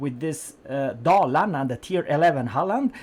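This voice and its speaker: Someone speaks with a non-native accent. The pace is very slow. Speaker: gaming YouTuber. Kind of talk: game review commentary. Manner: hesitant, many fillers.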